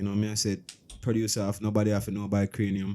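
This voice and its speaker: A man is speaking here. His voice is fairly low in pitch, with a dark, mellow tone. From Jamaica, Saint Elizabeth. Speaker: dancehall artist. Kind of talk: interview. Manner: casual, hesitant.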